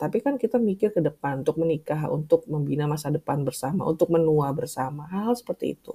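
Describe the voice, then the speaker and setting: Her voice is fairly low for a woman, with a dark, mellow tone. She sounds somewhat breathy and moves at a fairly quick pace. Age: 40s. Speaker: podcast host, writer and language teacher. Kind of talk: solo podcast monologue.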